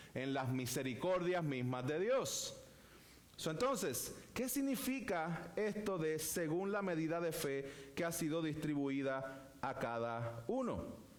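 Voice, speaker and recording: Very slowly, a man with a fairly high pitch talks with very wide pitch swings and very even loudness, his voice carrying audible room echo. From Puerto Rico. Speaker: pastor. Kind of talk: sermon. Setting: church.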